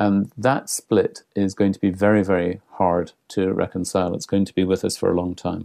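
A man with a Scottish accent speaks at a moderate pace with hardly any pauses, his very deep, low voice dark and mellow in tone, his intonation fairly even, and the sound dry and close with no echo. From Scotland. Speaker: international cultural relations consultant. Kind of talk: interview.

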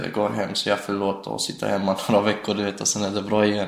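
Over noticeable background noise and audible room echo, a man with a fairly low pitch talks at a very fast pace in a monotone, flat intonation. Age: 20s. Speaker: prison inmate. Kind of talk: interview. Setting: prison visiting room.

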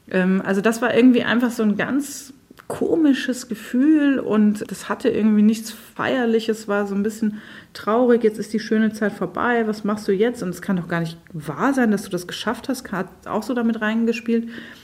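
A woman with a fairly high pitch talks at a moderate pace in an unremarkable speaking voice, with ordinary pitch variation. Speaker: writer. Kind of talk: interview.

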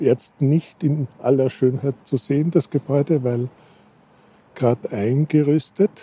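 A dark, mellow, somewhat breathy voice with fairly even intonation comes through with a dry, close sound with no echo. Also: man, fairly high pitch for a man. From rural Austria. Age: 60s. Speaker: media historian and professor. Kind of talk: interview. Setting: outdoors on a rooftop.

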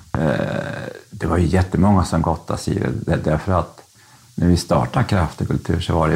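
There is noticeable background noise. A man speaks with a very deep, low voice. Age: 60s. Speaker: convicted fraudster, former publisher. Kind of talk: interview.

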